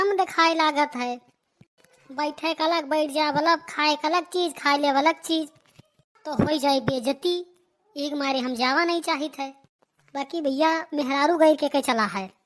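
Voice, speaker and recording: Using a cartoonish character voice, a woman speaks at a high pitch with fairly even intonation and long, frequent pauses. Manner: rambling, indignant.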